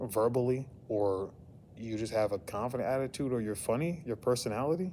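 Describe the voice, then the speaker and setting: A man speaks fairly quickly with an American accent, his pitch medium and its variation ordinary. His tone is dark and mellow. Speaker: vlogger. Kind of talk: casual vlog monologue. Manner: halting, repetitive filler.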